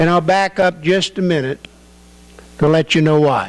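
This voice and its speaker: Against noticeable background noise, a man speaks at a fairly slow pace in a fairly high pitch. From Northern California. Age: 70s. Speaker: coin dealer. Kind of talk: public talk.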